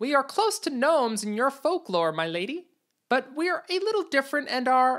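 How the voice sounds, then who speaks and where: A woman's put-on character voice, high in pitch with very wide pitch swings, at a moderate pace. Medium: read story. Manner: deferential, formal.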